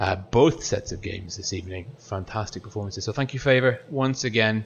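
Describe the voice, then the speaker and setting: This man's voice sits at a fairly low pitch and is somewhat breathy. He moves at a fairly quick pace with ordinary pitch variation. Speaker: esports commentator. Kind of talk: live commentary. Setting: online stream, remote co-commentator. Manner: fast, talkative.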